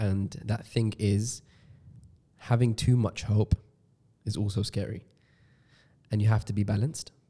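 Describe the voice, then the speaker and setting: A fairly low, somewhat breathy man's voice with a dark, mellow tone, fairly even intonation, a fairly slow pace and long, frequent pauses. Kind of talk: casual podcast chat.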